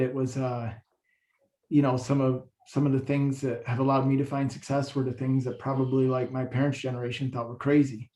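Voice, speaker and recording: This man has a medium pitch and an unremarkable speaking voice. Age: 40s. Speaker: city commission candidate. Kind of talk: candidate forum answer. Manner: casual, with fillers.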